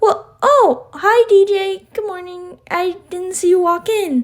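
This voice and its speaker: A woman adopts a squeaky put-on character voice with an extremely high pitch. She speaks at a fairly slow pace with ordinary pitch variation. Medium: read story.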